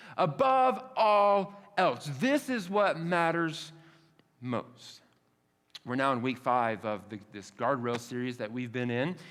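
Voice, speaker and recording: The man's voice sits at a fairly high pitch with very wide pitch swings. He speaks at a very slow pace. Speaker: pastor. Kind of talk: sermon. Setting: church. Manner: casual, conversational.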